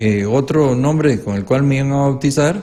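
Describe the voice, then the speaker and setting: Lively intonation colors the dark, mellow tone of a man's voice. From Costa Rica, Pital de San Carlos (rural Alajuela). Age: 70s. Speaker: legislator and educator. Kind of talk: interview.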